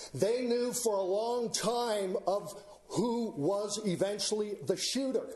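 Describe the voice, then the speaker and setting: A man at high pitch with ordinary pitch variation and very even loudness, a very slow pace and noticeable background noise. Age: 60s. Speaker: member of the public speaking at a hearing. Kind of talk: public hearing speech. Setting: public hearing before county board. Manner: formal.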